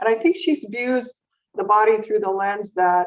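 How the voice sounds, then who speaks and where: A woman with an American accent and a plain, everyday voice speaks at a moderate pace, her fairly high pitch showing ordinary variation. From US West Coast, San Jose, California. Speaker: neurologist. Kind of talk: interview.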